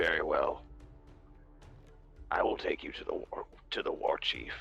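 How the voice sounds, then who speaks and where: A man puts on a raspy character voice at a moderate pace. Music is clearly heard behind him. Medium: actual play. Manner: curt, gruff.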